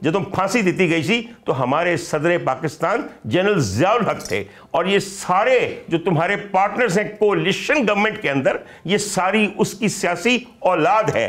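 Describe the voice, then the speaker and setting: This man's voice sits at a high pitch with ordinary pitch variation and a fairly slow pace. His loudness stays very even. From Pakistan, Punjab. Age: 50s. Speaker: doctor and political commentator; political commentator. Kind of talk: political commentary chat. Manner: animated. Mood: mocking, scolding. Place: home room.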